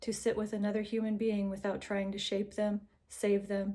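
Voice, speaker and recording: Soft-spoken and somewhat breathy, a woman talks at a moderate pace in a medium pitch. Her tone is dark and mellow, her intonation monotone and flat. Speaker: narrator reading texts aloud. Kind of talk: reading aloud; casual intro. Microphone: recording without usual AirPods, unsure of audio.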